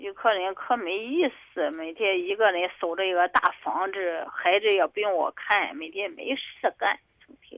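Speaking at a fairly slow pace, this voice runs on with hardly any pauses. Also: woman, medium pitch for a woman, ordinary pitch variation. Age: 50s. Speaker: caller seeking advice. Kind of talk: call-in advice talk. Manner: halting.

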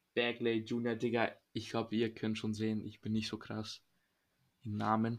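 Flat and monotone, a man speaks at a fairly slow pace with a medium pitch. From Serbia. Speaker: podcast co-host. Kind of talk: casual chat.

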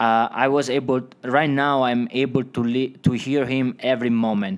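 A man speaks in an Italian accent with fairly even intonation. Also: very clean recording, silent background. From Italy. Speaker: Bible college student. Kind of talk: interview, personal testimony.

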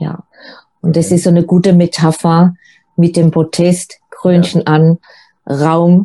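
A woman's dark, mellow tone at medium pitch and a moderate pace. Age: 50s. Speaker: single coach. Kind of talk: interview.

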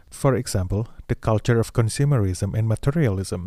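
A man speaks at a fairly quick pace in a fairly low voice. His tone is dark and mellow. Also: very clean recording, silent background. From Indonesia. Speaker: podcast co-host. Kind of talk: personal narrative.

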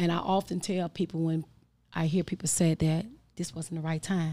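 On a very clean recording with a silent background, a woman speaks at a moderate pace in a somewhat breathy voice with a dark, mellow tone. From Chicago west side, Austin community. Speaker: formerly incarcerated entrepreneur, runs women's transitional housing. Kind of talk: interview testimony.

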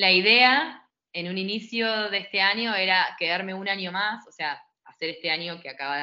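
The speaker has a Rioplatense accent and ordinary pitch variation. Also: woman. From Argentina, Buenos Aires south zone (Adrogué). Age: 30s. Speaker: English teacher. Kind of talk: interview.

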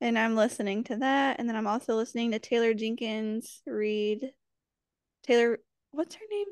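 A woman with an ordinary speaking voice talks at a moderate pace, her fairly high pitch held in fairly even intonation. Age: 20s. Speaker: podcast co-host. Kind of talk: casual chat.

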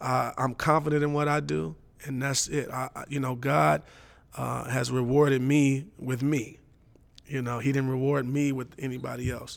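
A man's plain, everyday voice with an American accent, medium pitch, ordinary pitch variation and a moderate pace. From Los Angeles. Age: 40s. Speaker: pastor and drummer. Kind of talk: interview conversation. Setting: church.

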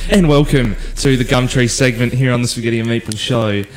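A man with an Australian accent at medium pitch, talking at a very fast pace over noticeable background noise. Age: young. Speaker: podcast host. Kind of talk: casual chat.

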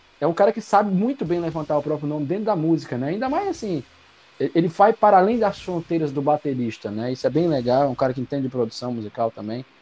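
Music plays in the background. The speech comes at a very fast pace with very wide pitch swings. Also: man, fairly high pitch for a man. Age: 30s. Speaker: podcast co-host. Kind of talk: casual chat.

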